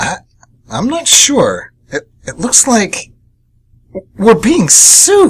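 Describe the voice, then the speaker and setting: Using a put-on character voice at an extremely high pitch, a man speaks at a very slow pace. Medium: audio drama. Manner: flustered, stammering.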